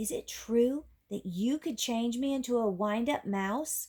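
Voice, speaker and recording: A woman puts on a character voice, fairly high in pitch. She speaks at a fairly slow pace. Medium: read story.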